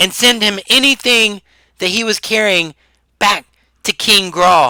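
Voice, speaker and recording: A raspy, high-pitched put-on character voice from a man, at a fairly slow pace. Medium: actual play. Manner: halting, stammering.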